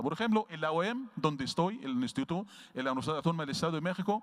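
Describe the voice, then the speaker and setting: Words come very fast from this man. He speaks with lively intonation. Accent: Arabic. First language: Arabic (speaking Spanish). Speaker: veterinary researcher and professor. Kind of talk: lecture. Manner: halting.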